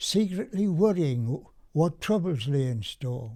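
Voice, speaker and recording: Very slowly, a man speaks at a fairly high pitch with a dark, mellow tone. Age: 80s+. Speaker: war veteran, former prisoner of war. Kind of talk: poetry reading.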